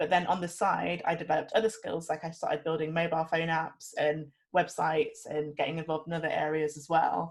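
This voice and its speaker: A woman speaks at a fairly low pitch. She goes at a very fast pace with hardly any pauses. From England (Nottingham). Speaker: lead software engineer. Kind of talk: panel talk on video call. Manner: enthusiastic.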